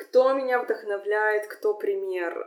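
A woman at a very slow pace. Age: 30s. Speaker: podcast host. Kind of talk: solo monologue answering listener questions. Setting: Instagram live stream. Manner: hesitant, frequent filler sounds.

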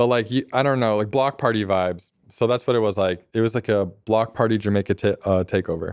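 An ordinary speaking voice runs at a fairly quick pace with hardly any pauses, very even loudness and fairly even intonation, in a very clean recording with a silent background. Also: man, fairly low pitch for a man. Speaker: DJ and music producer. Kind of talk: casual chat.

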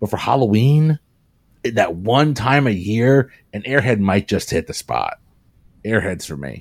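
A man's medium-pitched voice, animated in tone with lively intonation, fairly slow with long, frequent pauses, in a dry, close sound with no echo. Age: 40s. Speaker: podcast panelist. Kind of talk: casual chat. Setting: video call.

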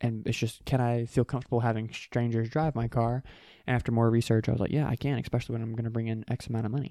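A man with an American accent talks at a very fast pace and medium pitch, his dark, mellow tone set in a monotone, flat intonation. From US South, South Carolina (York). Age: 20s. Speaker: entrepreneur. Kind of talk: casual chat. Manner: hesitant, many fillers.

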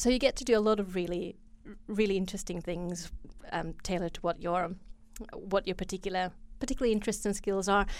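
A woman of medium pitch and ordinary pitch variation speaks at a very fast pace but with long, frequent pauses. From Finland. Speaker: study skills advisor and poet. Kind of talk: interview.

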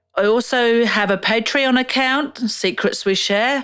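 A woman with an Australian accent, at a very slow pace. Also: very clean recording, silent background. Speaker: podcast host. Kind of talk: interview.

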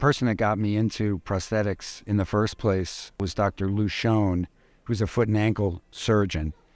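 An ordinary speaking voice from a man with an American accent, fairly low in pitch and moderate in pace, on a very clean recording with a silent background. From New York City. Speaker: prosthetist. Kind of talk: conversational interview. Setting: live recording at a conference.

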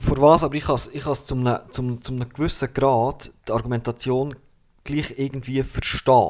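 At a fairly quick pace, a man talks in a monotone, flat delivery at medium pitch. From Bernese Oberland, Switzerland. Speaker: artist. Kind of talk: casual chat. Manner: halting, repeats words.

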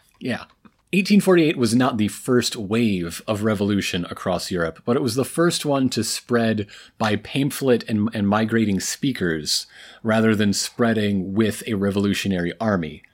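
Here is a man with an unremarkable speaking voice, pitched fairly low. He talks at a moderate pace with lively intonation. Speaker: podcast co-host. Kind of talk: casual chat.

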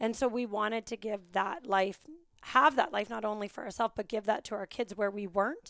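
A woman with a fairly high pitch speaks in an animated tone at a fairly quick pace, with a dry, close sound with no echo and a very clean recording over a silent background. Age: 30s. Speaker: fitness business owner. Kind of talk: interview.

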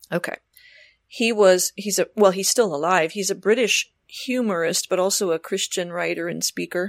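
A woman's normal speaking voice, medium in pitch, at a moderate pace with fairly even intonation, in a dry, close sound with no echo and a very clean recording over a silent background. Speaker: podcast co-host. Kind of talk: casual chat about books.

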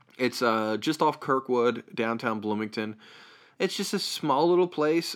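A man with a medium pitch is captured on a very clean recording against a silent background. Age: 30s. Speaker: comedian and podcast host. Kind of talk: casual chat. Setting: home studio. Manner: animated.

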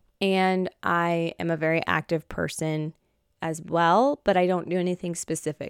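A woman with a fairly low voice and an unremarkable speaking voice talks at a moderate pace, recorded dry and close with no echo, very clean with a silent background. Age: 30s. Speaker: faith and fashion podcast host. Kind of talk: casual monologue. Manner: earnest.

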